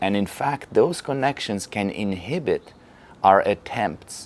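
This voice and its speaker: A man's fairly low voice with a Polish accent, lively intonation and a very slow pace. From Poland. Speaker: Feldenkrais teacher. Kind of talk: lecture.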